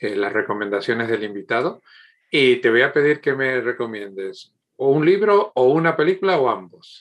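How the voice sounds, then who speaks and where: A man speaking at a fairly slow pace, with ordinary pitch variation, over a quiet background. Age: 50s. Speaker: podcast host. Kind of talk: interview. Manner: halting, many repetitions.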